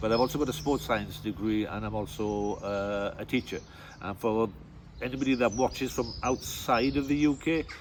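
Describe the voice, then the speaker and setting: A strong Welsh accent at a moderate pace, with ordinary pitch variation. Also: man. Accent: deep Welsh. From West Wales, near Cardigan. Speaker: tour guide and teacher. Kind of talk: interview. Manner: halting, with many fillers.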